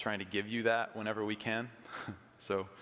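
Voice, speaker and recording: This man has a fairly low-pitched voice. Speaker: pastor. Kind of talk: sermon. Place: church. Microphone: podium.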